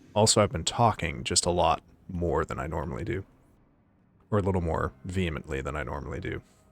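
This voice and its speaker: Very deep and low in pitch with vocal fry, a man speaks at a fairly quick pace with ordinary pitch variation. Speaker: vtuber streamer. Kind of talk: live gaming stream chat. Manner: animated.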